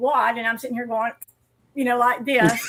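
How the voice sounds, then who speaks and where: In a Southern US accent, a woman projects a raised, high-pitched voice with a bright, sharp tone and ordinary pitch variation. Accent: Southern US drawl. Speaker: amateur radio operator. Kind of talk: casual chat.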